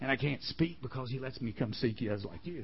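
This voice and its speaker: A man's fairly high, somewhat breathy voice at a very fast pace with lively intonation. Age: 50s. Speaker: camp chapel speaker. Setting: camp chapel with audience. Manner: animated, conversational, voicing characters in quick back-and-forth dialogue; earnest, emotional, near tears.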